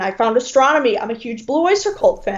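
With an American accent, a woman talks at a fairly quick pace. Her pitch variation is ordinary, and there is noticeable background noise. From Detroit, Michigan. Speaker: music fan. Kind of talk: casual chat.

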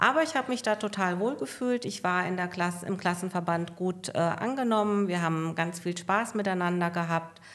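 With a calm tone and hardly any pauses, a woman talks at a moderate pace in a medium pitch with ordinary pitch variation. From Hesse, Germany (northern Hesse). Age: 60s. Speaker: hotline employee. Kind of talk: casual interview.

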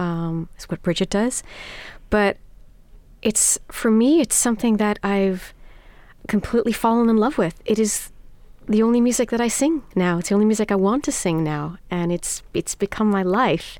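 A woman with an American accent and an unremarkable speaking voice, fairly high in pitch, at a moderate pace with lively intonation, on a very clean recording with a silent background. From New York City. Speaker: singer of Iranian folk songs. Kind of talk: interview.

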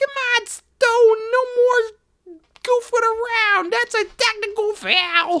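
At a fairly slow pace, someone uses a put-on character voice pitched extremely high. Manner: exasperated, scolding.

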